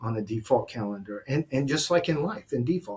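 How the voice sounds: A man's medium-pitched voice with a slightly mellow tone and a husky, rough edge, lively intonation, and a fairly quick pace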